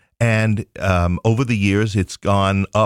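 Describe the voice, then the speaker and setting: A man with a New York accent speaks in a very deep, low voice. The very clean recording has a silent background and a dry, close sound with no echo. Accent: New York accent, noticeable. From Queens, New York. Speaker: theater company founder. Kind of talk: casual interview chat.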